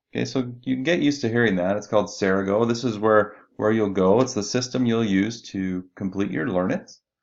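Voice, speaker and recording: A man's fairly low, plain, everyday voice at a fairly quick pace with ordinary pitch variation. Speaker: instructional designer or university staff. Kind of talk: screen-recorded tutorial.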